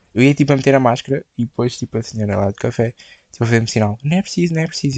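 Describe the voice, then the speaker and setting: A man with a European Portuguese accent talks at a very fast pace with very wide pitch swings. The sound is dry and close, with no echo. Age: 20s. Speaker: podcast host. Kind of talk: casual solo chat. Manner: casual, filler-heavy.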